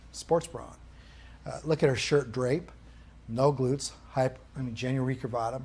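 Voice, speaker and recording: Vocal fry marks this man's fairly even intonation, with audible room echo around him. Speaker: rehabilitation course instructor. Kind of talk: lecture. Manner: fast.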